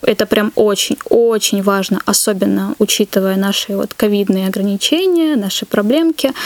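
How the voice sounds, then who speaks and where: A woman talks at a moderate pace with lively intonation and hardly any pauses. The sound is dry and close with no echo, though noticeable background noise comes through. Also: fairly high pitch for a woman. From North Caucasus, Russia. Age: 20s. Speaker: barista. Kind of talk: casual interview.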